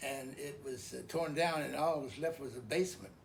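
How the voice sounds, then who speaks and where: A man with an American accent speaks with ordinary pitch variation. Audible room echo and noticeable background noise fill the recording. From Idaho, US. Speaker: elderly father telling life story. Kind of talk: oral history interview. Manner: halting, many fillers and repeats.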